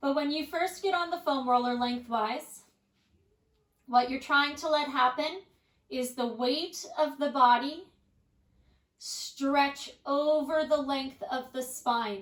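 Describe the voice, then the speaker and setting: In a calm tone and a high pitch, a woman speaks very slowly with long, frequent pauses and ordinary pitch variation. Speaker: pilates instructor. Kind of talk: workout tutorial. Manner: calm and measured.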